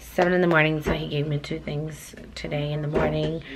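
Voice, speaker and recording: Noticeable background noise fills the recording. A woman speaks at a fairly slow pace. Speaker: vlogger. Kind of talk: casual vlog chat. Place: home room. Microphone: phone near.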